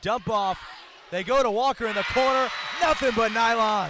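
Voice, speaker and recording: In an American accent, a man speaks in a raised, projected voice at a moderate pace with ordinary pitch variation, over noticeable background noise. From Eastern Shore of Maryland, US. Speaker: basketball play-by-play announcer. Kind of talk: live basketball play-by-play call.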